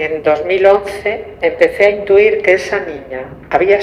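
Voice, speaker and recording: Through noticeable background noise, a woman with a medium pitch speaks at a very slow pace. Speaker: mother of stolen baby. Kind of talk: testimony.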